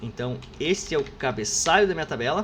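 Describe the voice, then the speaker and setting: A man talks at a fairly quick pace. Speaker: university professor. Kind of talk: lecture. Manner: fast; casual, informal.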